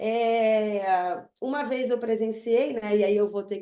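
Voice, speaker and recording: At a very slow pace, a woman talks in a dark, mellow tone with a fairly high pitch. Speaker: psychotherapist. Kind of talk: online group talk.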